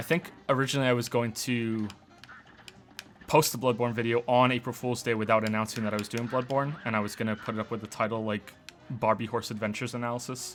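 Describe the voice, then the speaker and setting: Over music in the background, a man with a medium-pitched voice and an American accent talks very fast in a monotone, flat delivery. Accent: faint, mostly hidden; sounds North American. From British.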